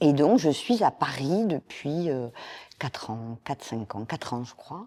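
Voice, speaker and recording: A woman speaks very slowly in a very deep, low pitch with a dark, mellow tone. Her pitch swings very widely and her loudness shifts in big swings. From southern France, Toulouse (Occitanie). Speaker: media engagement director. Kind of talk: interview conversation. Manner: hesitant, many fillers.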